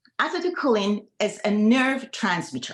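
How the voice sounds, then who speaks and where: A fairly high-pitched, somewhat breathy woman with an Iranian accent, fairly slow pace and very wide pitch swings. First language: Farsi. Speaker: medical doctor. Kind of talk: panel presentation. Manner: halting.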